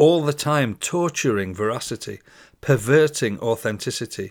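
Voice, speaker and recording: Speaking at a fairly slow pace, a man uses an intense tone and ordinary pitch variation, over a silent background in a very clean recording. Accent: British. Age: 60s. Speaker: podcast host and poet. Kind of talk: poetry reading, spoken word, then reflective solo talk. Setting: solo recording. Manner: measured, declamatory, rhythmic, intense delivery.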